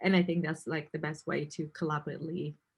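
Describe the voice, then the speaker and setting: Somewhat breathy, a woman's voice comes through. She talks at a fairly quick pace. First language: not English. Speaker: interviewer. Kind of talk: interview.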